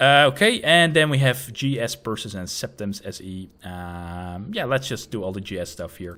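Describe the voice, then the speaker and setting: With a Dutch accent, a man talks in a bright, sharp tone with lively intonation. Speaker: gaming tutorial youtuber. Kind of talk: tutorial. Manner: casual with frequent fillers.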